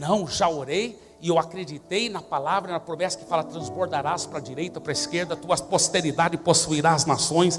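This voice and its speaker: A man with a high voice speaks at a moderate pace, barely pausing, his intonation fairly even. His loudness swings widely, with music playing in the background. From Brazil, raised by American missionary parents. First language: English (speaking Portuguese). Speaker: pastor. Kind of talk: sermon.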